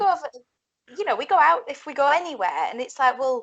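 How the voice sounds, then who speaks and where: A very fast woman's voice, high-pitched, in a Yorkshire accent. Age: young. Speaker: blues rock guitarist. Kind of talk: interview answer.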